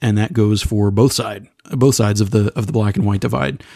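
A man speaks at medium pitch with a dark, mellow tone. The sound is dry and close, with no echo. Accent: American. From Texas. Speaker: podcast panelist. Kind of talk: casual chat.

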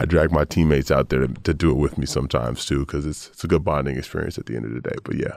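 Speaking in an American accent with vocal fry, this voice races along at a very fast pace with hardly any pauses. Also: man, very deep, low pitch for a man, fairly even intonation. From US Southwest (Phoenix, Arizona). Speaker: professional basketball player. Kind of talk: interview. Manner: repeats words often.

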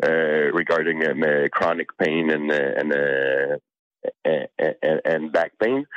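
Very slow, fairly even delivery at very even loudness, dry and close with no echo, over music in the background. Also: man, very deep, low pitch for a man. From Canada. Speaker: cannabis sommelier and product sourcing expert. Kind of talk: interview. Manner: halting, frequent fillers and repeated words.

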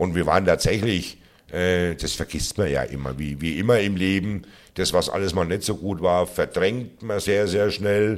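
Very deep, low male voice, fairly even in intonation, captured on a very clean recording against a silent background. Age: 50s. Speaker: football club fan liaison officer. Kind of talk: casual interview. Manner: repeats words, hesitant fillers.

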